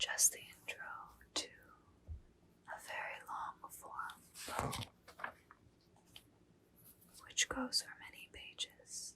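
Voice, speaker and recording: Whispering at a very slow pace, the speaker leaves long, frequent pauses. Noticeable background noise is present. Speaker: ASMR creator reading poetry. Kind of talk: casual talk to camera, introducing the book. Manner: whispered, soft-spoken.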